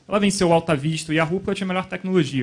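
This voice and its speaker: A man is speaking. His intonation is fairly even. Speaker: panelist, startup investor. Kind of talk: panel talk. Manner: fast.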